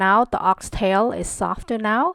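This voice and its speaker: A woman speaks in a calm tone with a Cambodian accent, her pitch medium. The sound is dry and close, with no echo. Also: very clean recording, silent background. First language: Khmer. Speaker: cooking channel host. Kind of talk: cooking tutorial. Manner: calm, instructional.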